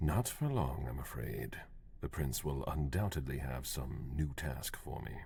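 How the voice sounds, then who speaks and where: A man's put-on character voice, pitched very deep and low. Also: moderate pace. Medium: video game. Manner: curt, cold.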